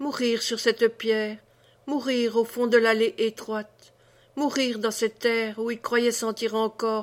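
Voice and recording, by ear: Reading aloud in a natural voice, intonation fairly even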